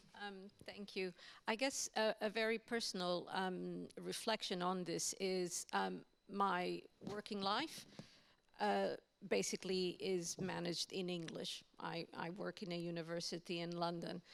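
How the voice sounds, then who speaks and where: A woman speaks with a Portuguese accent at a fairly slow pace. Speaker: university language lecturer on a panel. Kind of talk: panel discussion.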